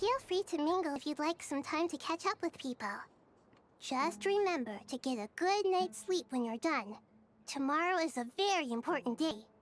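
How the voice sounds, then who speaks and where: In a put-on character voice, the speaker uses a high pitch and a gentle tone at a moderate pace. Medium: video game. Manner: soft, gentle.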